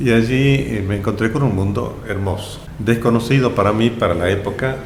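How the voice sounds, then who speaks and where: Noticeable background noise and audible room echo surround the recording. A man speaks at a medium pitch. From Argentina, Jujuy (northwest). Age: 70s. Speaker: politician and lawyer. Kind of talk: interview. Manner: halting, with many fillers.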